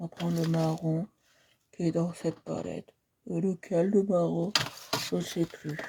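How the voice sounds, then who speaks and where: A soft-spoken woman at a fairly low pitch, fairly slow and monotone, with flat intonation and long, frequent pauses. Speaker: art instructor livestreamer. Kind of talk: painting tutorial livestream. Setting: live stream.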